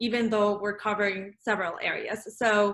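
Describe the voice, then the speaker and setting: With a Spanish accent, a woman talks in a bright, sharp tone at a fairly high pitch, recorded very cleanly against a silent background. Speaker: real estate agent. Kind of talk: casual chat. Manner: halting, many fillers.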